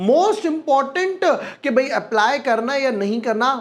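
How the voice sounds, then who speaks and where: This man's pitch is extremely high. Noticeable background noise is present. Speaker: stock market research analyst. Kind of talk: financial analysis video. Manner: soft-spoken; casual, code-mixed Hindi-English.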